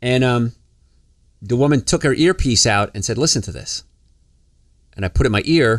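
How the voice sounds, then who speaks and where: Recorded very clean against a silent background, with a dry, close sound and no echo, the speaker talks at a fairly quick pace in a New Jersey accent. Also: man. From New Jersey, US. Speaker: health podcast host, doctor. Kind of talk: casual podcast talk. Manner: fast.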